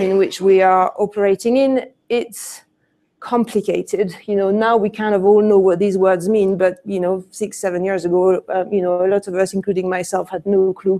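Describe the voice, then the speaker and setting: A dark, mellow tone with a French accent, monotone, flat intonation and a moderate pace. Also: woman. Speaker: conference speaker, e-commerce business leader. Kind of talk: conference presentation. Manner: hesitant, many fillers.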